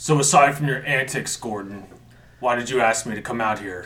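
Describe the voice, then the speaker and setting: A man adopts a put-on character voice, pitched in his medium range and paced moderately. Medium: actual play. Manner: blunt, measured and calculating.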